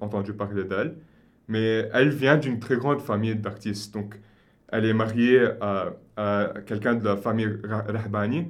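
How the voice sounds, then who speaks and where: With audible room echo, a man speaks at a moderate pace, his fairly low voice keeping a fairly even intonation. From Lebanon, Beirut. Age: 20s. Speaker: consultant. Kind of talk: interview.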